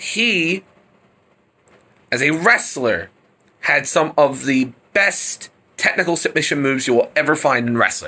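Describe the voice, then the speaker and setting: Fairly high-pitched and bright, sharp in tone, a man speaks fairly slowly with vocal fry, lively intonation and long, frequent pauses. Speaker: wrestling commentary vlogger. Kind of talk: rant. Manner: stuttering.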